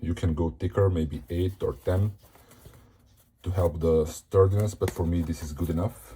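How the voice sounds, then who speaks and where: A man with a non-native accent speaks at a moderate pace, his pitch very deep and low with ordinary variation. His tone is dark and mellow, and somewhat breathy. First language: not English. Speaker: hobbyist tutorial maker. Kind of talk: tutorial. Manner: casual with hesitations.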